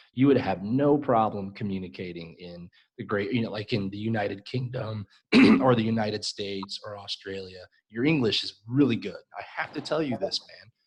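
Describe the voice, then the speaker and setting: A man's fairly low voice at a moderate pace, with big swings in loudness and ordinary pitch variation. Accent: Chicago. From US Midwest, Chicago. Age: 40s. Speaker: English teacher. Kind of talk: live-stream conversation lesson. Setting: live stream video call.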